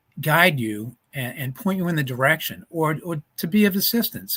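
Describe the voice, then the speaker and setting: This man's pitch is fairly high, and his intonation is lively. He speaks at a moderate pace. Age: 60s. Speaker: conference speaker, trauma and fitness coach. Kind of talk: motivational talk. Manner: passionate, preaching.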